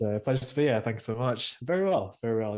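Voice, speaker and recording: Over a quiet background, a man with an English accent speaks at a fairly quick pace in a dark, mellow tone. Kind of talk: casual chat. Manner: fast.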